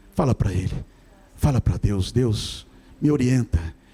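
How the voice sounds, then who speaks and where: A man speaks at a moderate pace with a dry, close sound and no echo. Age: 60s. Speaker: pastor. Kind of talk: sermon.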